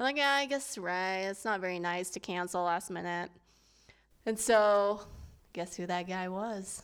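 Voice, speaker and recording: At a moderate pace, a woman speaks with ordinary pitch variation and an unremarkable speaking voice, captured on a very clean recording with a silent background. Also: medium pitch for a woman. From US, Filipino immigrant family. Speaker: podcast co-host. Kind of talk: casual chat.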